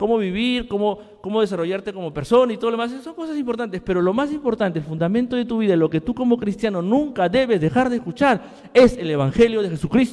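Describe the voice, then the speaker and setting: A man with a high pitch and lively intonation talks at a very fast pace. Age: 40s. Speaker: pastor. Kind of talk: sermon.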